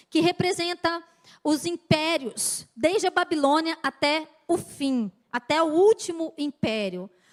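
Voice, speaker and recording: A woman's extremely high-pitched voice with lively intonation at a very slow pace, in a dry, close sound with no echo. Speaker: pastor. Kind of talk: sermon.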